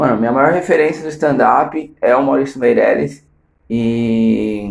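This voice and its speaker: A man with a medium pitch and ordinary pitch variation talks at a fairly slow pace. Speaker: comedian. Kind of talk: casual monologue. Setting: at home in the bathroom.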